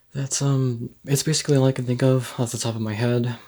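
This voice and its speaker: Soft-spoken and monotone, a man talks in a flat voice on a very clean recording with a silent background. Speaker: gaming video creator. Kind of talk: gameplay tutorial. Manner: hesitant, many ums. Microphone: poor recording quality.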